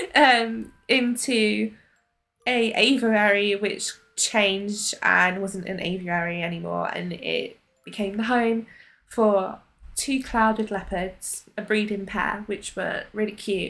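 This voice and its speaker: A woman at a medium pitch and a very slow pace, with music in the background. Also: fairly even intonation. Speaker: gaming YouTuber. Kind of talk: gameplay commentary. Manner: halting.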